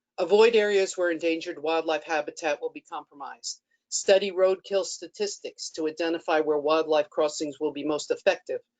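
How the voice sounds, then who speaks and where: With a normal speaking voice, a woman of fairly low pitch talks at a fairly quick pace with hardly any pauses, ordinary pitch variation and big swings in loudness, in a dry, close sound with no echo. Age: 60s. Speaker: public commenter. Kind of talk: public comment statement. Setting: webinar. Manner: formal.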